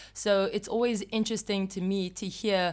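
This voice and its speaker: The woman has an ordinary speaking voice, talking at a fairly slow pace with fairly even intonation on a very clean recording with a silent background. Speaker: podcast host. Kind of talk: podcast interview, scripted intro.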